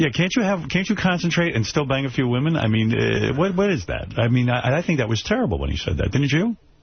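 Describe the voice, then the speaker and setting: A man at a very fast pace with hardly any pauses, a fairly high pitch with very wide pitch swings, very even loudness and noticeable background noise. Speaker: radio talk show host. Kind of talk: interviewer questions.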